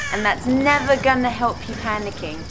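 Speaking with a British accent, a woman has a high-pitched voice. Noticeable background noise is present. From England. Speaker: gaming channel host. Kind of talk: video game commentary. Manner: chatty, excitable. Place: home room.

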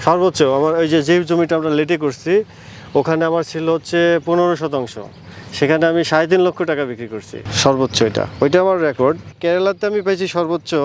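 An unremarkable speaking voice from a man, pitched fairly high. The pitch varies an ordinary amount. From Natore, Bangladesh. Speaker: bean farmer. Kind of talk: interview. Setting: outdoors in a crop field.

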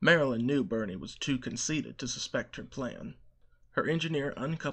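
The voice reads naturally. Its pitch moves in a typical way.

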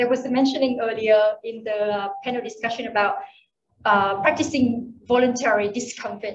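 In a room with audible echo, a woman speaks at a moderate pace in a fairly high voice with ordinary pitch variation. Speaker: entrepreneur. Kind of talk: conference talk. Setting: stage with audience. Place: hall. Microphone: podium.

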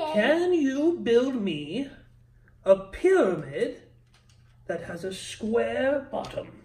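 A put-on character voice with a fairly high pitch and a warm tone moves at a very slow pace with long, frequent pauses. The pitch swings very widely. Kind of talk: gentle bedtime-style game mastering. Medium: actual play. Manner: warm, encouraging, slightly grand.

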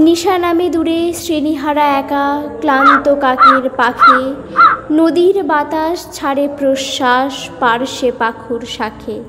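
A woman's high voice is raised and projected with ordinary pitch variation over noticeable background noise. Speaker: poetry reciter. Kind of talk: poetry reading.

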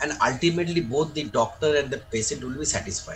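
A man with a fairly high voice speaks in a somewhat breathy way, his intonation lively. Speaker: senior surgeon and teacher. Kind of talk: lecture. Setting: video call.

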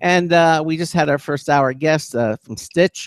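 A man talks at a moderate pace. The background is quiet and the sound is dry with no echo. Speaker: radio host. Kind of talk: radio talk show hosting, with intros, interviews and sign-offs. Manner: warm, chatty, professional radio patter. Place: home room. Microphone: studio mic.

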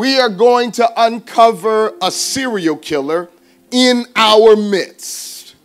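The voice is a man's, with a high pitch. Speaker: pastor. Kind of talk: sermon. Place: church. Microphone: podium.

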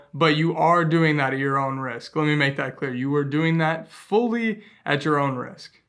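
Against a quiet background, a man talks at a moderate pace with hardly any pauses and ordinary pitch variation. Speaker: travel vlogger. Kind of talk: casual vlog chat. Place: home room.

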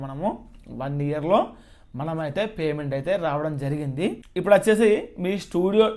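Fairly high pitch and ordinary pitch variation from a man. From Telangana, Mancherial district. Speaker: cooking YouTuber. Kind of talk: casual vlog Q&A.

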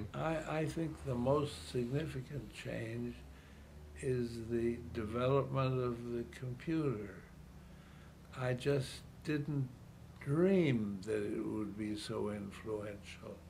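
A man with a Chicago accent speaks at a very slow pace with long, frequent pauses. Light background noise is present. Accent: Chicago American English. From US Midwest, Chicago. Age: 80s+. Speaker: retired city politician. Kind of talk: elderly man reminiscing about a century of change in an interview. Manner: halting, repeating words as he gathers his thoughts; quietly marveling, earnest wonder. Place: home room.

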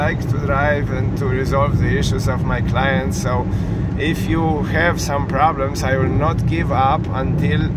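A man at a fairly slow pace, dry sound with no echo, and loud background noise. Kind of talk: casual vlog chat. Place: car. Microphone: phone near.

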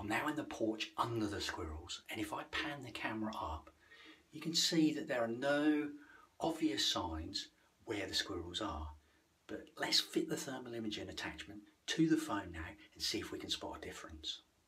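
A man at a moderate pace, his pitch swinging very widely. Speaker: wildlife gadget vlogger. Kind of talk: casual vlog tutorial. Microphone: phone near.

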